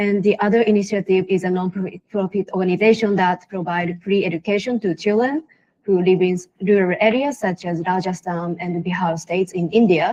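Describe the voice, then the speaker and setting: With a Japanese accent, a woman speaks at a moderate pace in a medium pitch, her tone dark and mellow, with ordinary pitch variation over a quiet background. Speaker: social entrepreneur. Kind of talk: panel discussion.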